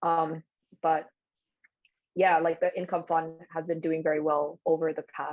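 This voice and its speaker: This woman speaks at a very deep, low pitch. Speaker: investment analyst. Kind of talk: workshop presentation. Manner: fast; hesitant, filler-heavy.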